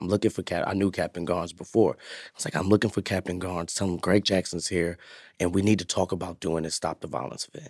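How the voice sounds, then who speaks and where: A man's very deep, low voice with an American accent, at a very fast pace and with fairly even intonation, in a very clean recording with a silent background and a dry, close sound with no echo. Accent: New York, slight, with some Southern words. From Bronx, New York. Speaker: community nonprofit founder and youth worker. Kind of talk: casual interview.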